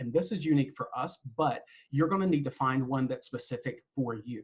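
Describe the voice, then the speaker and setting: Someone with a North Carolina accent talks at a fairly quick pace in a somewhat breathy voice. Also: man. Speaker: university staff member leading a webinar. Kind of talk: webinar presentation. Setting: online webinar with screen sharing. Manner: casual, with frequent fillers.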